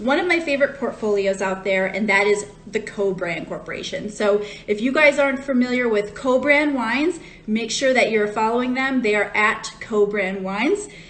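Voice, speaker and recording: Over noticeable background noise, a woman with an American accent speaks at a fairly high pitch with ordinary pitch variation. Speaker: wine educator. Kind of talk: live-stream wine tasting talk. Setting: Instagram live stream. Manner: casual, chatty with fillers.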